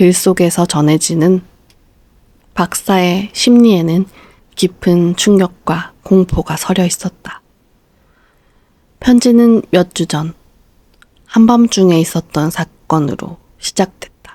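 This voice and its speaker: Speaking very slowly with long, frequent pauses, a woman uses a dark, mellow, medium-pitched voice with ordinary pitch variation, the sound dry and close with no echo. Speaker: audiobook narrator. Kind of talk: bedtime story reading.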